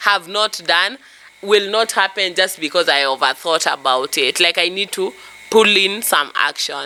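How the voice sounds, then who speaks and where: In a calm tone, a woman talks at a moderate pace. Noticeable background noise is present. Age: 30s. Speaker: vlogger sharing life lessons. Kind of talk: personal reflection monologue. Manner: loud; raises voice even in calm talk.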